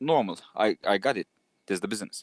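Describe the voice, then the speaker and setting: At a moderate pace, a man with a non-native accent talks in a dry, close sound with no echo. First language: not English. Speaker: community member asking questions. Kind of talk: community Q&A. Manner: halting.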